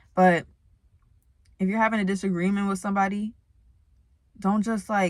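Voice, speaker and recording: The intonation stays monotone and flat on a very clean recording with a silent background. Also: woman. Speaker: spiritual vlogger. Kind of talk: casual vlog talk. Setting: talking to camera. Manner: fast talker.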